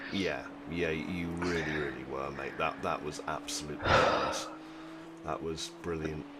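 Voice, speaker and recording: A man talks in a very deep, low pitch with fairly even intonation. Audible room echo and noticeable background noise fill the recording. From England. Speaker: sim racing streamer. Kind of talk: casual chat.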